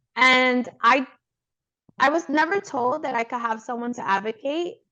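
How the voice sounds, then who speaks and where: Bright and sharp in tone, the voice carries lively intonation in a New York accent. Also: woman. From New York (Brooklyn). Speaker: podcast host, pediatrician. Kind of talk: casual interview chat.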